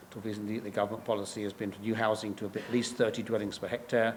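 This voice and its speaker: With an English accent, a man talks very fast in a fairly low, monotone, flat voice, and audible room echo surrounds him. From England. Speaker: professor. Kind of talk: lecture. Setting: stage with audience. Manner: halting.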